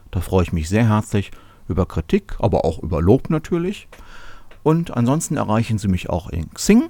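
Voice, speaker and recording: Speaking at a moderate pace, a man with a fairly low pitch and a dark, mellow tone makes very wide pitch swings on a very clean recording with a silent background. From Germany, Cologne. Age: 30s. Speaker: podcast host, software developer. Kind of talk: solo podcast monologue.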